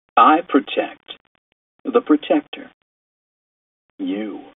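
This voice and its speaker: A put-on character voice talks at a very slow pace. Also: man, extremely high pitch for a man. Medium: read story. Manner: cool, confident.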